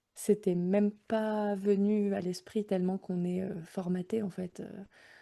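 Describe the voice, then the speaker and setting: Her tone dark and mellow, a woman speaks at a fairly slow pace in a monotone, flat delivery. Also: medium pitch for a woman. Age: 30s. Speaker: mother sharing home birth story. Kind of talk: podcast interview testimony. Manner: hesitant, many fillers.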